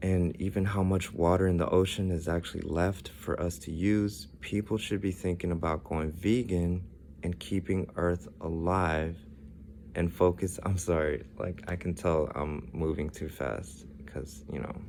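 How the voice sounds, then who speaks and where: This man's very deep, low voice moves at a fairly slow pace with ordinary pitch variation. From Ethiopian background, raised in US. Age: 30s. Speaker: vlogger. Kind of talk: personal monologue. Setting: hotel room.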